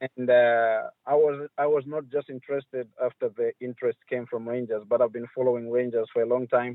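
A man speaks at a moderate pace and medium pitch with hardly any pauses, his intonation monotone and flat. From Zambia, Chipata. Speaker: professional footballer. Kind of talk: interview.

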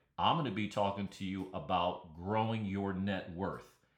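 Audible room echo around a man's voice, fairly low in pitch. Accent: American. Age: 60s. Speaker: podcast host. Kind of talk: solo podcast monologue.

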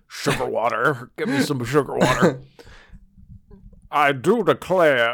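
A man's put-on character voice in a Southern US accent, fairly high-pitched, at a fairly slow pace with long, frequent pauses. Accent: Southern American. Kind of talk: impression voice.

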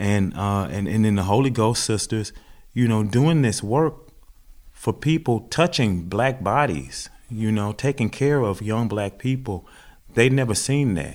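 A man with a Southern US accent at a medium pitch and a fairly slow pace, on a very clean recording with a silent background. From US South, Mississippi. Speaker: farmer and podcast co-host. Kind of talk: casual conversation.

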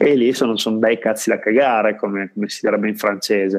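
A man talks at a fairly quick pace in an ordinary speaking voice of medium pitch. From Italy, Parma. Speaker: board game designer. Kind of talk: casual interview.

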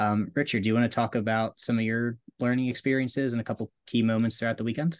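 A man of medium pitch talks at a very fast pace with very even loudness and fairly even intonation. The sound is dry and close with no echo over a quiet background. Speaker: podcast co-host. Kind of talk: casual chat.

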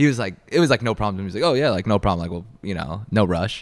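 A man's fairly low-pitched voice with a New York accent, on a very clean recording with a silent background. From Long Island, New York. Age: 20s. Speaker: YouTuber and clothing brand founder. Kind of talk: casual interview. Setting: in person in New York City.

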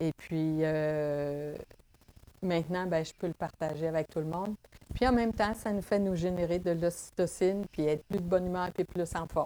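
In a dry, close recording with no echo, a woman with a dark, mellow tone and fairly low pitch speaks at a moderate pace with ordinary pitch variation. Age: 60s. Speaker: massage therapist. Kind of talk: interview testimony.

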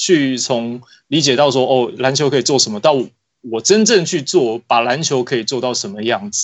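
Moderate pacing and lively intonation in a man's ordinary speaking voice. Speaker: basketball magazine editor. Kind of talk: casual chat.

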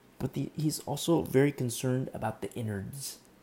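A man's somewhat breathy voice with a dark, mellow tone, at a moderate pace. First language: not English. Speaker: pastor. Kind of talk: sermon. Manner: halting.

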